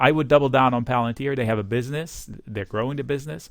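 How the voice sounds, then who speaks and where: On a very clean recording with a silent background, a man with a slight non-native accent talks at medium pitch with ordinary pitch variation. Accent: slight foreign. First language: not English. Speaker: stock market commentator. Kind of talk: market analysis monologue. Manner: casual, conversational.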